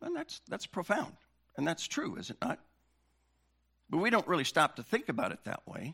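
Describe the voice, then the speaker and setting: This man speaks at a high pitch and a moderate pace, with very wide pitch swings, long, frequent pauses and a bright, sharp tone. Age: 60s. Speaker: pastor. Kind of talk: sermon. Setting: church.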